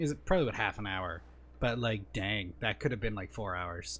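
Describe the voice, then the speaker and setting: There is vocal fry in this man's voice. He makes very wide pitch swings. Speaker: gaming YouTuber. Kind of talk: let's play commentary. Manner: hesitant with many fillers.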